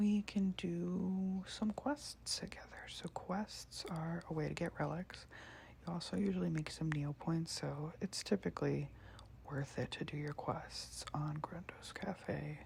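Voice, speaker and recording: Soft-spoken, a woman talks at a fairly slow pace. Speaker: ASMR creator. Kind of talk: ASMR let's play, casual talk.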